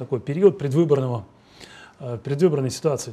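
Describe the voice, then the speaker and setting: A man at a very fast pace, dark and mellow in tone, with lively intonation. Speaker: TV host. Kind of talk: TV interview. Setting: studio. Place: studio. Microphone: lapel.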